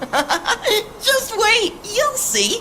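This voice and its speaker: A put-on, squeaky character voice at extremely high pitch, bubbly and upbeat, over clear background noise. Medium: video game. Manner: bubbly, upbeat, giggly.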